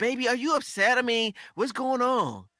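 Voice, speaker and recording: A man's put-on character voice, extremely high and whiny, at a moderate pace with fairly even intonation. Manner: whiny, pleading.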